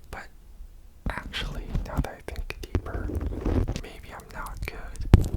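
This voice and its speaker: Whispering at a very slow pace in a relaxed tone, the voice comes through noticeable background noise. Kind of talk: ASMR mic triggers, relaxed rambling to camera. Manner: soft-spoken, relaxed, casual.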